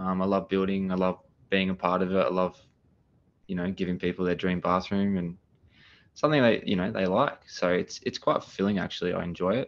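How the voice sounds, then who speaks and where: Very deep and low in pitch, a man with an Australian accent talks at a fairly quick pace. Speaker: renovation business owner. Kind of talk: podcast interview. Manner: loud; energetic.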